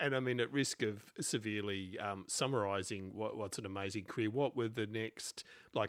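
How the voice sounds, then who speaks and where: A man with an Australian accent speaks in a fairly low voice at a moderate pace. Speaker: podcast host. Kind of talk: interview.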